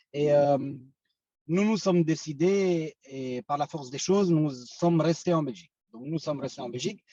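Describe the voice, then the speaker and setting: Dark, mellow tone with ordinary pitch variation and a dry, close sound with no echo. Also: man. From Belgium (Romanian-born, arrived as teen). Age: 40s. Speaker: company founder. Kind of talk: business presentation. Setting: video call. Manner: halting, many hesitations.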